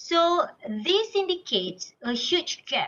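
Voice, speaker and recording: A woman projects a raised voice with a bright, sharp tone and very wide pitch swings. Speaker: academic conference speaker. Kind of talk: conference presentation.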